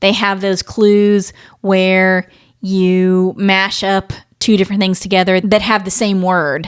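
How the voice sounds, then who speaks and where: Someone with an American accent speaks at a fairly slow pace on a very clean recording with a silent background. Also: woman. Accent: Midwest, comes out occasionally. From US Midwest, Ohio. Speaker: podcast host. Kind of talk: casual chat. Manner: animated.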